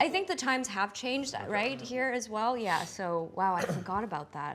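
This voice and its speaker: Over noticeable background noise, a woman with a fairly high voice talks at a moderate pace, her pitch swinging very widely. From Netherlands, small town near Gouda. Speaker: actress. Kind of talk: interview.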